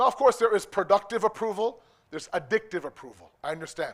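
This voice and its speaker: Talking at a very fast pace with a Canadian accent, a man sounds animated, with ordinary pitch variation. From Canada (Toronto), Pakistani immigrant family. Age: 40s. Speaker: religious speaker. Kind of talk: lecture. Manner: conversational, animated.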